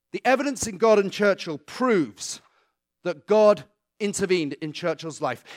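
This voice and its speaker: In a very clean recording with a silent background and a dry, close sound with no echo, a man speaks at a moderate pace in a high pitch with lively intonation. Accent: British. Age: 40s. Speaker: author and guest speaker. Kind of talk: talk to a church congregation. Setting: church.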